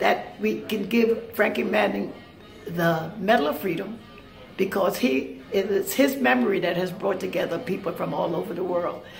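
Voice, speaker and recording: A woman speaks at a moderate pace with lively intonation, faint music playing in the background. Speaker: swing dancer. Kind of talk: spoken appeal addressed to the president. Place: cafe. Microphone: phone near.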